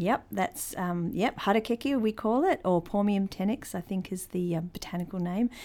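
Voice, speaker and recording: In a dark, mellow tone, a woman at medium pitch with ordinary pitch variation talks at a moderate pace with hardly any pauses, on a very clean recording with a silent background. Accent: New Zealand. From New Zealand, born in Christchurch. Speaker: museum creative producer, Maori cultural specialist. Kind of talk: interview.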